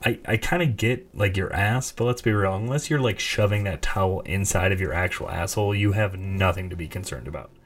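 A somewhat breathy male voice with ordinary pitch variation. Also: fairly low pitch for a man, fairly quick pace, hardly any pauses. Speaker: podcast host. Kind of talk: casual monologue. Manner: halting.

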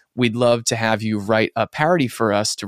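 A man speaks with an American accent in a normal speaking voice. His medium pitch shows ordinary variation. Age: 20s. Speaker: comedy musician. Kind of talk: casual chat.

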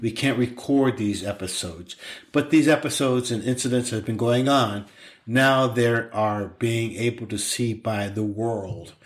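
A man's plain, everyday voice at medium pitch, fairly slow and fairly even in intonation, on a very clean recording with a silent background. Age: 60s. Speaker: podcast co-host, dad. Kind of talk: casual chat.

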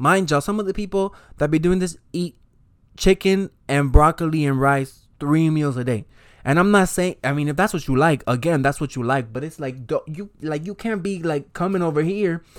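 In an ordinary speaking voice, the speaker goes at a fairly quick pace with ordinary pitch variation, on a very clean recording with a silent background. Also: man. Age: 20s. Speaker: podcast host. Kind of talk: casual monologue. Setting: home desk recording.

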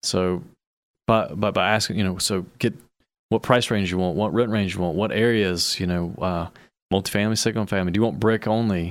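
In a very clean recording with a silent background, a man with an ordinary speaking voice talks fairly quickly at a fairly low pitch with fairly even intonation. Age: 40s. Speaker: real estate investor. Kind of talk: casual chat.

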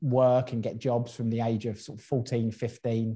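This man has a medium pitch and a dark, mellow tone. His voice is somewhat breathy, and he speaks at a moderate pace. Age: 30s. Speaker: entrepreneur. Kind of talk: interview.

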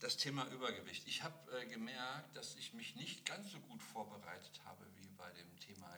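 Amid audible room echo, a man talks at a moderate pace with big swings in loudness. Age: 50s. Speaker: podcast host. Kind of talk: casual chat. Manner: animated.

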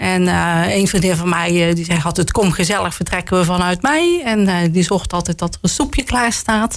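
A woman with a plain, everyday voice talks at a moderate pace with hardly any pauses. Her pitch is medium, with ordinary pitch variation. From Roosendaal, North Brabant, Netherlands. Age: 50s. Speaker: local politician. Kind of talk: casual interview. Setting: studio.

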